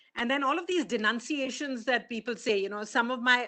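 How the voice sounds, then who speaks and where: The voice has a bright, sharp tone, with ordinary pitch variation and a moderate pace. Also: woman. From India. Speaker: conference speaker. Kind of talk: conference talk.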